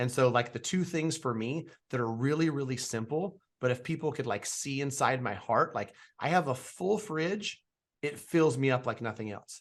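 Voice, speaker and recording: An unremarkable speaking voice, a man's, fairly high with lively intonation. He talks at a moderate pace over a quiet background. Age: 40s. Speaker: podcast host. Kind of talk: interview.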